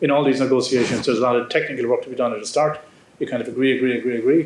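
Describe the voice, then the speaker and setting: A man with an Irish accent talks at a very fast pace. His pitch is medium and his intonation fairly even. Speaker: ambassador. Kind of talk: audience Q&A answer. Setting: lecture hall with audience.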